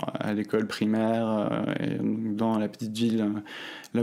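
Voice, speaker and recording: A man with a rather low pitch talks at a moderate pace against clear background noise. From France, Normandy. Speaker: student telling his story. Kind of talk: personal testimony. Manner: hesitant, many fillers.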